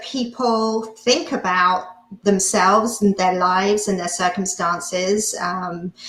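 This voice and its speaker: Over noticeable background noise, a woman with a non-native accent speaks at a very slow pace. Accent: foreign accent, noticeable. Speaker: hypnotist and mindset coach. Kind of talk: interview. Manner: halting, many fillers.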